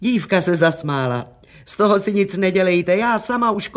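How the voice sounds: Reading in a natural voice.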